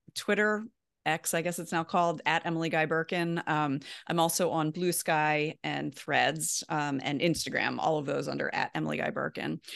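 A woman with an American accent speaks in a plain, everyday voice, fairly low in pitch, with ordinary pitch variation. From US, Baltimore. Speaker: personal finance writer. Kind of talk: interview.

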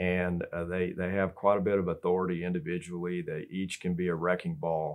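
A man talks at a fairly quick pace with a Texan accent. His pitch is very deep and low, and his intonation is monotone and flat. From Texas. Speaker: state senator. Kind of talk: interview. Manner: halting, many fillers.

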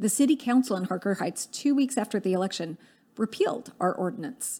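This woman has a plain, everyday voice, fairly high in pitch, with an American accent and lively intonation. The recording is very clean, with a silent background. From US South, Dallas, Texas. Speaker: political organizer. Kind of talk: interview.

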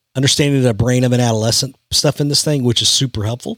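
A man with an American accent talks at a very fast pace in an animated tone, his medium-pitched voice showing ordinary pitch variation, with a dry, close sound and no echo. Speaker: youth ministry leader, podcast host. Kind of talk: casual chat.

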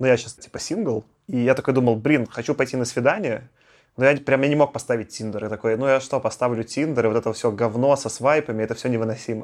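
A man's medium-pitched voice at a very fast pace with fairly even intonation, against a quiet background. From Belarus. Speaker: podcast host. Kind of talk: casual chat.

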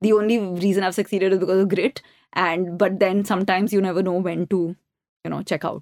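A woman speaks at a fairly quick pace in a medium pitch with monotone, flat intonation. The sound is dry and close, with no echo. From India, Delhi. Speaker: company co-founder and CEO. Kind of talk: interview.

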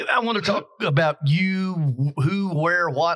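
Bright and sharp, this man's voice carries a Southern US accent. The recording is very clean and the background silent. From Kentucky. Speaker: podcast host. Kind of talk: casual chat. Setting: hotel venue.

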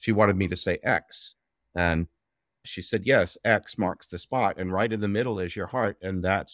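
A very deep, low-pitched man with an American accent, moderate pace and fairly even intonation, in dry, close sound with no echo on a very clean recording with a silent background. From Southeast Texas. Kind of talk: interview conversation, reflective storytelling.

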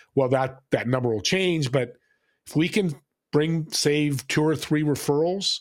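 On a very clean recording with a silent background, a man with a normal speaking voice and a fairly high pitch talks at a moderate pace with ordinary pitch variation. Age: 60s. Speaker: business owner and podcast host. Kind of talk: casual interview.

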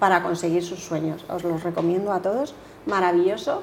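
Speech comes at a moderate pace with fairly even intonation. There is noticeable background noise and audible room echo. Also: woman. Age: 50s. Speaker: leadership coach. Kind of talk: interview.

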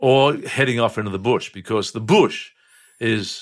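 In a very clean recording with a silent background, a man with an Australian accent speaks at a fairly slow pace. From Brisbane, Australia. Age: 70s. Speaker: retired breakfast radio host. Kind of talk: casual chat.

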